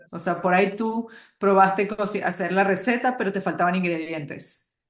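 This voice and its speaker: Her pitch sits in the medium range. This woman keeps her intonation fairly even. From Uruguay. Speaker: hormone and nutrition health practitioner. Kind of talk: interview.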